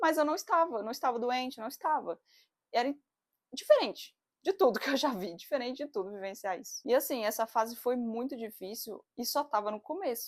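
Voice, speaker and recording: A woman talks fairly quickly at a high pitch with lively intonation. The recording is very clean, with a silent background. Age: 30s. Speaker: psychologist and doula. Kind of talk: casual talk to camera. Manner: chatty, expressive.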